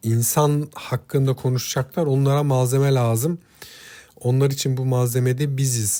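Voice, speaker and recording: A man's dark, mellow, medium-pitched voice, monotone and flat at a moderate pace, on a very clean recording with a silent background. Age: 40s. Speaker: relationship advice YouTuber. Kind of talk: solo talk monologue to viewers. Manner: hesitant, many filler sounds.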